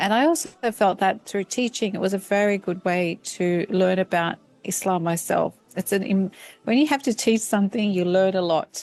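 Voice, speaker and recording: At a moderate pace, a woman with an Australian accent speaks at medium pitch, with ordinary pitch variation and very even loudness. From Australia, Sydney. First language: Turkish. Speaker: professor. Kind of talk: interview. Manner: halting, many fillers.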